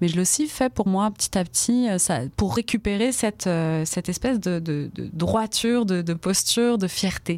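Using a plain, everyday voice, a woman speaks at a moderate pace and medium pitch with lively intonation. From France, Brittany (rural Finistère). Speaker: storyteller and poet. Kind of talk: radio interview; storytelling.

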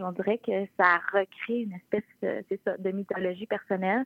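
A woman's normal speaking voice, medium in pitch, with ordinary pitch variation and a fairly slow pace. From Quebec, Charlevoix (La Malbaie). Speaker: author. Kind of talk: interview. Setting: phone call.

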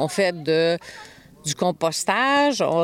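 Noticeable background noise sits behind a woman speaking with a Quebec accent. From Quebec, Montreal. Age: 60s. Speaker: off-grid homesteader. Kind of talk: interview.

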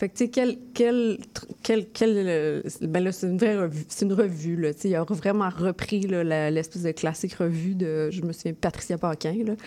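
This woman, with a Quebec accent, talks at a fairly slow pace in a medium pitch with a dark, mellow tone. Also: ordinary pitch variation. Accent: Québécois French. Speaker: poet and zine artist. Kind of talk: casual interview.

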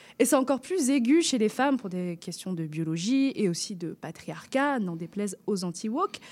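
A woman at medium pitch, moderate pace, hardly any pauses and very wide pitch swings. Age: 20s. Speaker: radio columnist. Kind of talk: radio chronicle.

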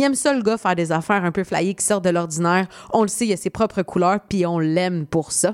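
Recorded dry and close with no echo, a woman at medium pitch talks at a very fast pace with ordinary pitch variation. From Quebec, Saint-Jean-sur-Richelieu (South Shore of Montreal). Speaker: radio host. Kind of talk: radio music countdown hosting. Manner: casual, chatty with fillers.

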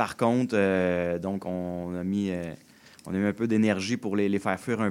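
A man speaks at a moderate pace with a strong Quebec accent. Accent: strong Québécois. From Quebec, Joliette region. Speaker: winery owner. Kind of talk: radio interview.

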